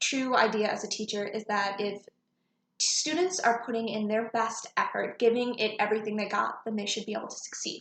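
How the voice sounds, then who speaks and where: Pitched fairly high, a woman speaks at a moderate pace. Her pitch varies in an ordinary way. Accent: American. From Michigan, US Midwest. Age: 20s. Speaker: teaching job applicant. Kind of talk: video job application, prepared speech.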